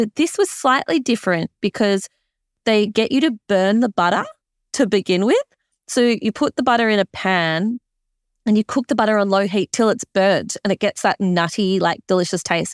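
A woman with an Australian accent sounds enthusiastic, speaking at a moderate pace with a fairly high pitch and ordinary pitch variation. The recording is very clean with a silent background and a dry, close sound with no echo, and her loudness stays very even. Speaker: podcast host. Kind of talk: interview and casual chat.

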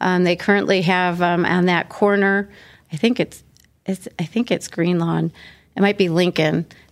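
Recorded very cleanly against a silent background, a woman with an unremarkable speaking voice talks with fairly even intonation. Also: fairly low pitch for a woman, moderate pace. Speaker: city council member. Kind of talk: interview.

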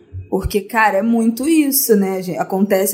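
Here a woman speaks in a Carioca accent. Her pitch is fairly high and her pace moderate. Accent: carioca Brazilian Portuguese. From Rio de Janeiro, Brazil (Zona Norte). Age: 20s. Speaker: podcast guest. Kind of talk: casual chat.

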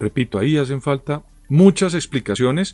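With a Colombian accent, a man speaks at a medium pitch and ordinary pitch variation. His sound is dry and close, with no echo. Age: 50s. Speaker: political analyst. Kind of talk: interview commentary.

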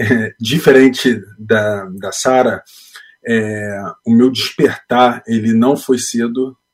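Fairly even intonation accompanies this man's medium pitch. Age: 30s. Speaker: aspiring missionary, engineer. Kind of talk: interview. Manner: halting.

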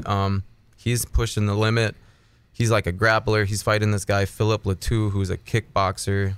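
A man with an Upper Midwest accent talks at a fairly low pitch and moderate pace. His intonation is monotone and flat, and the recording is very clean with a silent background. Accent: Upper Midwest American. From Minnesota. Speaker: MMA fight promoter and former fighter. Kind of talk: casual interview.

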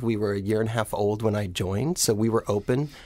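A man with a plain, everyday voice, medium pitch and a fairly quick pace, with an American accent. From rural Ohio. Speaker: nonprofit executive director. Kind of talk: radio interview.

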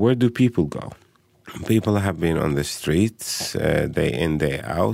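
A man speaks with an Arabic accent at a fairly low pitch. His intonation is lively and his pace fairly slow. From Palestine (Bethlehem). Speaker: educator and human rights advocate. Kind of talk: interview. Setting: studio.

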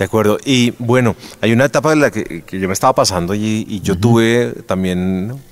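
A man with a fairly low pitch talks at a fairly quick pace with ordinary pitch variation. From Colombia. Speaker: podcast host, former news presenter. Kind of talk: interview. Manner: hesitant, many fillers and repetitions.

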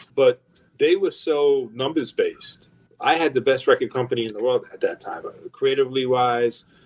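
The speaker is a man with a New York accent. His delivery is moderately paced. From New York, Long Island. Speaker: record label executive. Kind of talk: interview.

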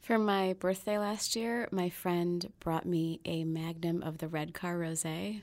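A woman with a fairly low pitch has a plain, everyday voice and fairly even intonation. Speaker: podcast host and food writer. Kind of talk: podcast interview, scripted intro then casual chat.

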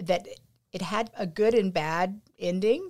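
Speaking at a fairly slow pace with a Texan accent, a woman uses ordinary pitch variation. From Texas, rural Pleasanton. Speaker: entrepreneur. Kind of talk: casual interview.

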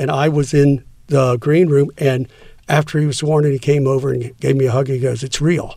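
At a moderate pace, a man with an American accent and an ordinary speaking voice speaks at a fairly high pitch. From Texas, San Antonio. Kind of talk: casual interview.

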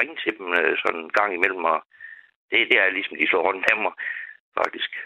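Here a man talks at a moderate pace. He leaves long, frequent pauses. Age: 50s. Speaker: caller. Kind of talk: phone-in talk.

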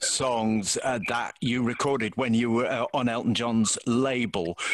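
A man's unremarkable speaking voice at medium pitch and moderate pace. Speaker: podcast host. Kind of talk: arts and entertainment podcast presenting.

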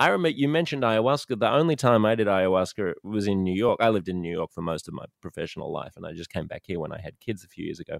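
With an Australian accent, the speaker races along at a very fast pace with hardly any pauses, lively intonation and big swings in loudness, in a dry, close sound with no echo. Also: man, fairly low pitch for a man. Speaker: podcast host. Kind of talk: casual chat. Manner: animated.

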